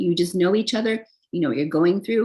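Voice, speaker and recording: Somewhat breathy speech comes through. The speaker is a woman. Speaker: tarot reader. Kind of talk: tarot reading monologue. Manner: casual, filler-heavy.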